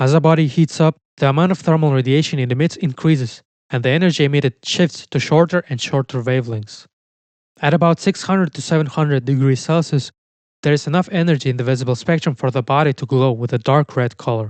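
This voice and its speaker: A man talks at a very fast pace and fairly high pitch. The sound is dry and close with no echo, over a quiet background. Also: ordinary pitch variation. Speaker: science history narrator. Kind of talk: scripted narration. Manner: measured, explanatory.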